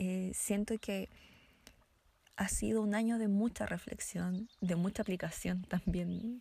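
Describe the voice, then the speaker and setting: A woman speaks at a medium pitch in a dark, mellow tone, somewhat breathy and monotone. The recording is very clean with a silent background. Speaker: podcast co-host, political scientist. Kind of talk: casual chat.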